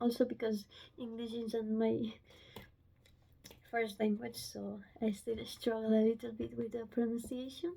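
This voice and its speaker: At a fairly slow pace with long, frequent pauses, a woman speaks in a somewhat breathy, fairly high voice with fairly even intonation. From Romania. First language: Romanian. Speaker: book vlogger. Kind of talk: casual vlog talk to camera. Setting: home, filming on phone. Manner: halting. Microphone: phone mic, no microphone.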